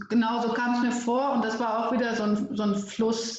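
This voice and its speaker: A woman speaks in a normal speaking voice. Her pitch sits fairly high. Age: 30s. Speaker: storytelling coach and editor. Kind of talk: interview conversation.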